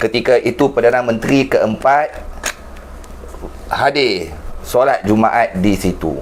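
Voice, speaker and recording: A man talks at a fairly slow pace and medium pitch, with ordinary pitch variation and very even loudness. Long, frequent pauses break up his speech, and noticeable background noise is present. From Penang, northern Malaysia. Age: 40s. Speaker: online talk show host. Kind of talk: political interview.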